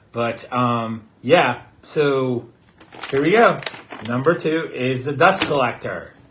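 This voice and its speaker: Over noticeable background noise, a man with an American accent speaks at a very slow pace, with a medium pitch and ordinary pitch variation. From Pittsburgh, US. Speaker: podcast co-host, theme park fan. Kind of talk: casual chat. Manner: halting, many fillers.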